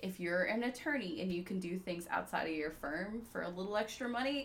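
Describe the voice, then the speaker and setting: A woman with an American accent, medium in pitch, fairly quick and lively in intonation, over noticeable background noise. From US South, Georgia (Peachtree City). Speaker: attorney. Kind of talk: casual interview.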